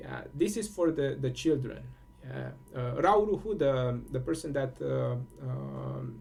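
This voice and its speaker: A man with a Romanian accent speaks at a fairly slow pace. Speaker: spiritual teacher. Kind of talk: solo monologue contemplation. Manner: halting, many fillers.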